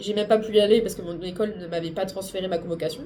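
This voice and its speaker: A woman talks at a fairly quick clip over noticeable background noise. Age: 20s. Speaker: booktuber and streamer. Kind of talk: vlog. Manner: halting.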